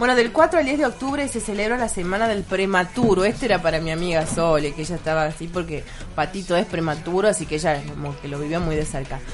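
At a very fast pace, a woman speaks with lively intonation. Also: medium pitch for a woman. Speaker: radio host. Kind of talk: casual chat.

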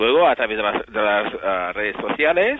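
A man speaks at a moderate pace with very wide pitch swings. Noticeable background noise runs beneath him. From Menorca, Spain. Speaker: civil servant and amateur travel YouTuber. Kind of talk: phone interview. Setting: phone call. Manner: halting, many repetitions.

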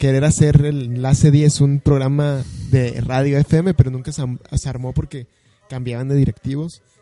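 A man's fairly high, monotone voice at a fairly slow pace, dry and close with no echo. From Mexico City area (Estado de México, Ecatepec). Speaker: podcast co-host. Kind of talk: casual chat.

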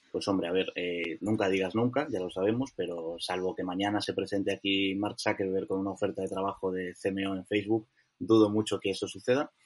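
A man speaks fairly quickly in a normal speaking voice with hardly any pauses. His pitch sits fairly low. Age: 20s. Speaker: digital marketing director. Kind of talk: interview.

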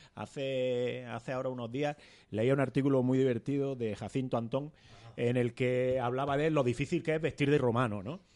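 Using an ordinary speaking voice, a man talks at a medium pitch and a moderate pace with fairly even intonation. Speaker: podcast co-host. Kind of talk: casual chat.

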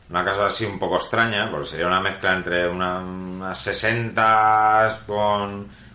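A man speaks at a fairly low pitch and a fairly slow pace, his tone bright and sharp. His intonation is fairly even, and the room echo is audible. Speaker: guitar and pickup builder. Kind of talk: interview. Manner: hesitant, many fillers.

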